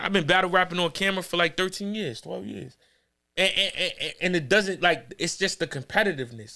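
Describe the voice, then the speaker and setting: High-pitched for a man, his speech has lively intonation on a very clean recording with a silent background. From New York, Harlem. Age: 30s. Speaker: battle rapper. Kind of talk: casual chat. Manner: animated.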